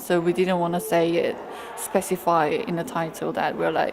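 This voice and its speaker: Against noticeable background noise, a woman with a Korean accent speaks at a moderate pace, her fairly low pitch in fairly even intonation. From South Korea. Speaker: photographer. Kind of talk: interview. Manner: halting.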